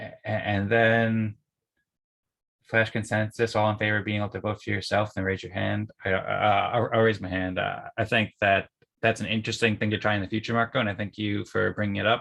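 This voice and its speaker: His pitch sits fairly low. This man's intonation stays flat and monotone. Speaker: community meeting facilitator. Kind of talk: online group meeting discussion. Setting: video call. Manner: fast.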